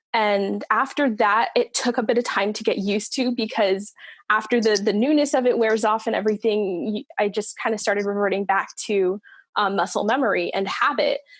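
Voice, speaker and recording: Ordinary pitch variation and a fairly quick pace mark a plain, everyday voice. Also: woman, fairly high pitch for a woman. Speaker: singer. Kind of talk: casual chat.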